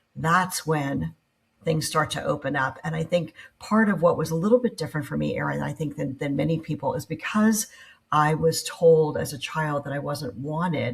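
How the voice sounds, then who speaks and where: At a moderate pace, a woman speaks with vocal fry and a very deep, low pitch. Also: ordinary pitch variation. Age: 60s. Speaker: entrepreneur. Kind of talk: interview conversation.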